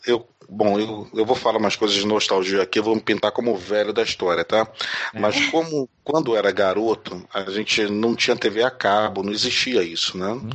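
Behind the moderately paced speech lies noticeable background noise, and the intonation stays fairly even. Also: man, fairly low pitch for a man. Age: 40s. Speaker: educator. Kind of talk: interview.

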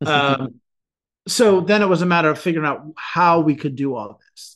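Over a quiet background, a man with an ordinary speaking voice and a fairly high pitch talks at a moderate pace with ordinary pitch variation. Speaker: podcast co-host. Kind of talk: casual interview chat. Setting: video call.

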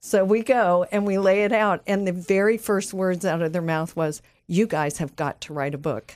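A woman talks at a moderate pace and a medium pitch, with hardly any pauses and ordinary pitch variation, in an ordinary speaking voice. The recording is very clean, with a silent background. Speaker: ministry leader and coach. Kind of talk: casual chat. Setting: studio.

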